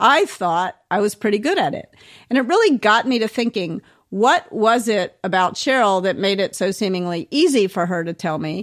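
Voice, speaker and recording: A woman with an American accent has a plain, everyday voice, fairly high in pitch, with lively intonation. She talks at a moderate pace on a very clean recording with a silent background. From US South. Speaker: author and management coach. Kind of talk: interview.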